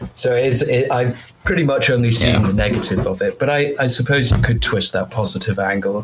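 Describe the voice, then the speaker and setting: A man's fairly quick speech at medium pitch, with ordinary pitch variation and very even loudness, over noticeable background noise. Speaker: medical student. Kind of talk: casual chat.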